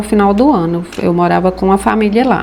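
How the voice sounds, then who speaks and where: A woman at a moderate pace, fairly even in intonation, over noticeable background noise. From Brazilian Northeast, Rio Grande do Norte; moved to Goiás at 9. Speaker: craftswoman. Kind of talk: personal life story interview.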